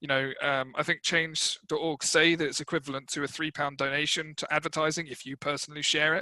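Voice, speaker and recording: A man talks at a fairly quick pace with hardly any pauses, in a fairly high pitch and a bright, sharp tone. His intonation is monotone and flat, the sound dry and close with no echo over a quiet background. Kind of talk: podcast interview.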